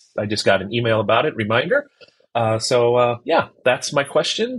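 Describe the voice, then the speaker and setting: A man speaks at a medium pitch with lively intonation and a somewhat breathy voice. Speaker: listener. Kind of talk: voice message. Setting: recorded on laptop with earbuds.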